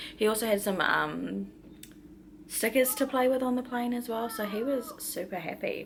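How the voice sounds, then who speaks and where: A woman speaks at a fairly high pitch in an Australian accent. There is noticeable background noise. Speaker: vlogger. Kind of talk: casual vlog talk. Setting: quarantine hotel room. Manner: soft-spoken.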